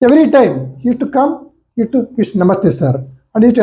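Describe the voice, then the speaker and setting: With a Karnataka accent, a man talks very fast in a dark, mellow tone. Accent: Indian English (Kannada). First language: Kannada. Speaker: homeopathy lecturer and doctor. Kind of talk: case-study lecture. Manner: halting, with fillers.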